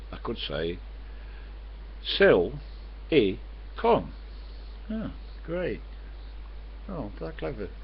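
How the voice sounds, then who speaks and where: Long, frequent pauses break up a man's speech, heard with audible room echo. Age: 70s. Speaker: vlogger. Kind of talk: casual monologue to webcam. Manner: fast.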